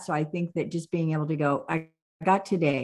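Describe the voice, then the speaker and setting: A woman's fairly low voice with an American accent, a normal speaking voice at a moderate pace with fairly even intonation and a quiet background. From US Pacific Northwest. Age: 60s. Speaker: podcast co-host. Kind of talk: casual chat.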